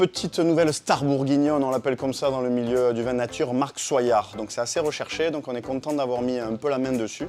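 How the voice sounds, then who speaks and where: A man with a southern French accent talks at a fairly quick pace and medium pitch with ordinary pitch variation, music playing in the background. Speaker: wine merchant presenting wines. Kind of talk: product presentation. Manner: casual, conversational with hesitations.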